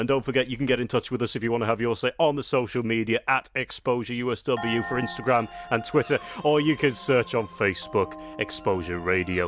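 Over clear music in the background, a man talks in a medium pitch with ordinary pitch variation, the sound dry with no echo. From United Kingdom. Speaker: radio presenter. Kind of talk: radio presenting. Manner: upbeat, chatty. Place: studio.

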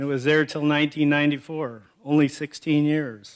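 Only quiet lies behind this man as he talks. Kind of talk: acceptance speech with anecdotes. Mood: warm, humorous. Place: hall. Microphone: podium.

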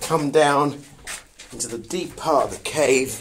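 A man speaks at a fairly slow pace with fairly even intonation. Light background noise sits behind him. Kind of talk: casual vlog commentary. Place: tunnel cave. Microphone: phone near.

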